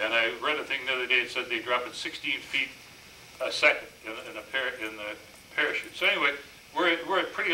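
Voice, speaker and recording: With audible room echo and noticeable background noise, a man with an Upper Midwest accent talks at a very fast pace, his fairly high pitch showing ordinary variation. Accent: Upper Midwest American. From Minnesota (Minneapolis). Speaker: war veteran. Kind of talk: presentation. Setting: stage with audience. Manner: halting.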